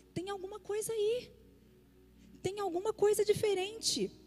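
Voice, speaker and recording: Music plays behind a woman with an extremely high pitch. She speaks fairly slowly in a flat, monotone way. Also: long, frequent pauses. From Brazil, Minas Gerais (Belo Horizonte). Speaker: pastor. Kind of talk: sermon. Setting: church service.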